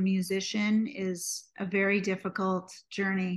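In a quiet background, a woman speaks in an American accent with a somewhat breathy voice. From US, New York City. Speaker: singer, songwriter and music producer. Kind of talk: interview conversation.

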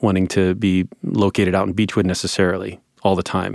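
Moderate pace and monotone, flat intonation in an American accent, on a very clean recording with a silent background. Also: man, dry, close sound with no echo. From northwest Ohio, US Midwest. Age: 40s. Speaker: business owner and skateboarding advocate. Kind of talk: interview.

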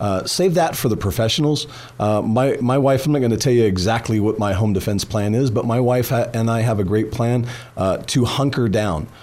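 A man speaks at a fairly quick pace in an ordinary speaking voice, with medium pitch, ordinary pitch variation and very even loudness. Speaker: firearms instructor and gun dealer. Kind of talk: radio interview. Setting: studio.

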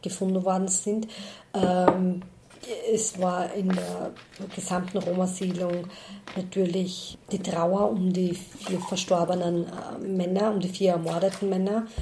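A woman speaks with monotone, flat intonation. Noticeable background noise and audible room echo fill the recording. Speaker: head of a church Roma ministry. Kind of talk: interview.

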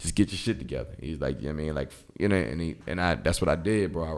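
The voice carries vocal fry. It moves at a very fast pace. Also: man. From Philadelphia. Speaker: rapper. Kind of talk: casual interview chat.

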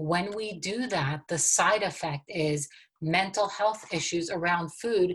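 With an American accent, a woman talks at a very slow pace in a fairly low pitch, her voice somewhat breathy and her pitch variation ordinary. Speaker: wellness coach. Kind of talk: casual interview chat.

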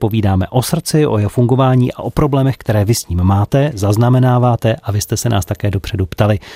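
Very fast and medium in pitch, a man's dark, mellow voice moves with ordinary pitch variation in a dry, close recording with no echo. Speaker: radio host. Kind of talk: radio magazine hosting. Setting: radio studio.

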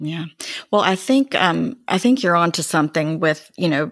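The recording of this woman is dry and close, with no echo. She speaks at a fairly low pitch with an American accent. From North Carolina, Greensboro. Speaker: podcast host. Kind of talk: interview.

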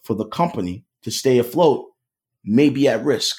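A man with a Philadelphia accent speaks at a medium pitch in a dark, mellow tone. The recording is very clean, with a silent background. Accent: Philadelphia American. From US Northeast, Philadelphia. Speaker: cybersecurity sales consultant. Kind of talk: podcast interview.

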